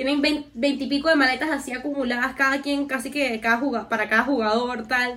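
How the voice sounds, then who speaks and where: A woman projects her high-pitched voice in a raised, monotone, flat delivery. Noticeable background noise runs behind her. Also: fairly quick pace. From Venezuela. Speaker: podcast co-host. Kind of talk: casual chat.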